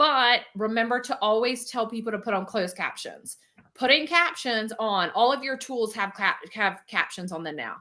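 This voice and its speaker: At a moderate pace, a woman speaks in an animated, bright, sharp tone at a fairly high pitch. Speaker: business coach. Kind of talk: live teaching webinar with Q&A. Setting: livestream.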